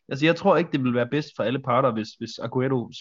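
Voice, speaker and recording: A man delivers his words at a very fast pace, his fairly high pitch varying in an ordinary way. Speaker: football podcast co-host. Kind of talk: casual chat. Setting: virtual studio. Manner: halting.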